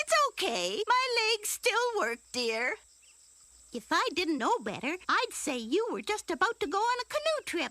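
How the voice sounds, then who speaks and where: Using a cartoonish character voice, a woman speaks at an extremely high pitch with very wide pitch swings, the sound dry and close with no echo. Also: moderate pace. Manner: warm, gentle.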